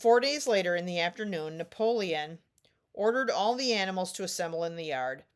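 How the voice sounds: A natural reading voice with quiet behind it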